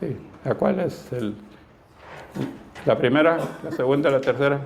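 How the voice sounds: A man speaks at a fairly slow pace with vocal fry and a slightly mellow tone. His pitch varies in an ordinary way, and room echo is audible. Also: medium pitch for a man.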